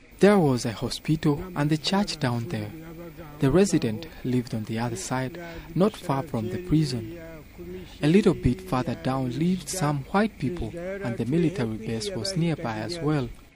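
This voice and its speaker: A man's fairly high voice at a moderate pace, lively in intonation, over noticeable background noise. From Rwanda, Kigali. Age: 100+. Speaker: elderly resident. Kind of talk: interview.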